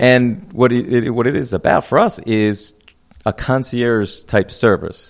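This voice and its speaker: Speaking with an American accent, a man talks at a fairly slow pace and a medium pitch. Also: ordinary pitch variation. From US Northeast, Reading, Pennsylvania. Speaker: professor and film commissioner. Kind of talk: radio interview.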